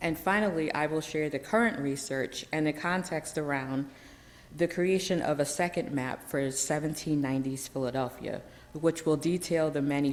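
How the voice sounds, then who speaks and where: Moderately paced speech from a woman, her pitch very deep and low, the intonation fairly even. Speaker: historian. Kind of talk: lecture. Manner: halting.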